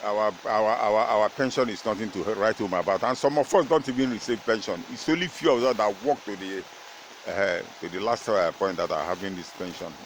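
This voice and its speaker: A man's voice, ordinary in its pitch variation, is heard through noticeable background noise. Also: medium pitch for a man, fairly quick pace. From Nigeria. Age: 70s. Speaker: retired footballer. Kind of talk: interview. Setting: at his home. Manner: halting.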